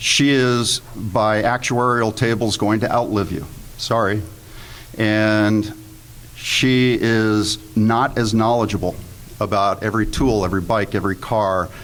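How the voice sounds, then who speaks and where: Speaking at a fairly slow pace, a man with a fairly low pitch has an unremarkable speaking voice, with very even loudness and fairly even intonation. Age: 60s. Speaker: panelist, investment fund manager. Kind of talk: panel presentation to live audience. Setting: room with live audience. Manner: humorous, conversational.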